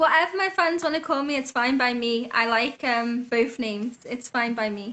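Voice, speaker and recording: A woman's high, bright, sharp voice in a Liverpool accent, moderate in pace with hardly any pauses and ordinary pitch variation, against a quiet background. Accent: Scouse. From Liverpool, England. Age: 20s. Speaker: singer. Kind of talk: interview.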